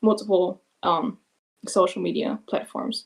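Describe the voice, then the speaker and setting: A woman with a non-native accent speaks with fairly even intonation. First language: not English. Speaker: music artist. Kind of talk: casual chat.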